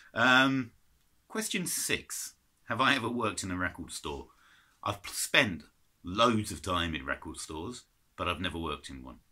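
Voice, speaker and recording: A man with an English accent, bright and sharp, with vocal fry, very wide pitch swings, big swings in loudness, and long, frequent pauses. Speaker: vinyl collector vlogger. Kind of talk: casual chat. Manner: hesitant.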